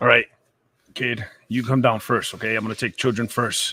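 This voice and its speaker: A raspy, put-on character voice moves at a moderate pace. Its intonation is monotone and flat. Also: man, medium pitch for a man. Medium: actual play. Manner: firm, reassuring.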